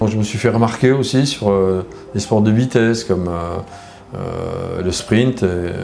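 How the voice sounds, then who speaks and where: Amid noticeable background noise and audible room echo, a man with a fairly low pitch and ordinary pitch variation talks at a fairly slow pace. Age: 60s. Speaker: former reality TV contestant. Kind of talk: interview. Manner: hesitant, many fillers.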